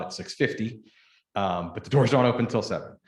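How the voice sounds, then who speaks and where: In a Pittsburgh accent, the speaker moves at a fairly quick pace with ordinary pitch variation. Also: man. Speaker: daycare owner. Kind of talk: public meeting presentation. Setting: township board meeting.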